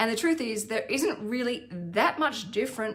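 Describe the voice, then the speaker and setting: Pitched fairly high, a woman talks in an Australian accent. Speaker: financial planner and finance vlogger. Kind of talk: educational vlog.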